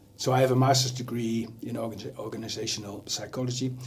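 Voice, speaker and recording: A man speaks with a Dutch accent at medium pitch, somewhat breathy. Room echo is audible. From Netherlands. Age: 60s. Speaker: leadership coach. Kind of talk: TV interview.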